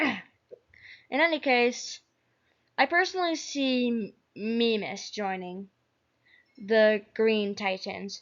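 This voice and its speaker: A woman talks at a very slow pace with long, frequent pauses and lively intonation. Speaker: YouTuber predicting an animated object show. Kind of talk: casual commentary video. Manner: stuttering, halting.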